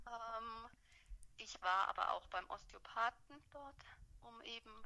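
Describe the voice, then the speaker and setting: A woman speaks at a very slow pace, her loudness swinging widely. Long pauses come often. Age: 30s. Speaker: mother telling her birth story. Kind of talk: testimony.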